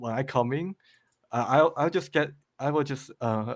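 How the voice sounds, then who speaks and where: A man speaks at a medium pitch with a slight Chinese accent. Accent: faint Chinese. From China, moved to Australia late primary school. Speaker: game level creator. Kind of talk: podcast interview. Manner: halting, many repetitions.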